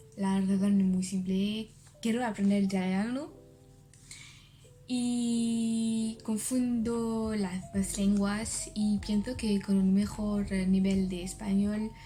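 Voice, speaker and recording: With music in the background and audible room echo, a woman speaks very slowly in a French accent, her intonation monotone and flat. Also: medium pitch for a woman. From France. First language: French (speaking Spanish). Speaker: language learner vlogger. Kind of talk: video diary. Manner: halting.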